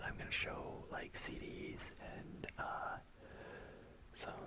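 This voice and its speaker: Whispering and mumbling, the speaker goes at a very slow pace in a relaxed tone. Noticeable background noise is present. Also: man. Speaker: ASMR content creator. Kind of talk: ASMR rambling talk to camera. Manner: mumbling, relaxed.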